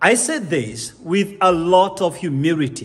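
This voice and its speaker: The man speaks high for a man, his intonation lively. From Kenya. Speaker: corporate speaker and business consultant. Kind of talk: motivational business talk. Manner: emphatic, didactic.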